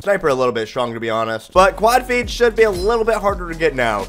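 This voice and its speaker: Over music in the background, a man with a high voice speaks at a fairly quick pace. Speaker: gaming youtuber. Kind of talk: gameplay commentary. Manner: excited.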